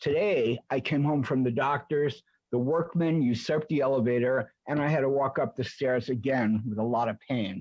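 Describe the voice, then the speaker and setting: Hardly any pauses break up this man's normal speaking voice. He keeps a moderate pace, very even loudness and ordinary pitch variation. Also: medium pitch for a man. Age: 60s. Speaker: tenant appellant. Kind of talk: testimony.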